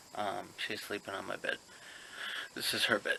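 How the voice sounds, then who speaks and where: A man talks against noticeable background noise. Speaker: pokemon card seller and collector. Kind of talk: casual vlog. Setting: at home. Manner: quiet, lowered voice.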